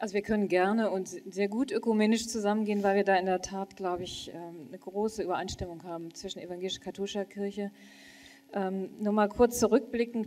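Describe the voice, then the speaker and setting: With fairly even intonation, a woman speaks in a dark, mellow tone. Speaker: church leader; panelist. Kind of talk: panel discussion. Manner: halting. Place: hall. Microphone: handheld.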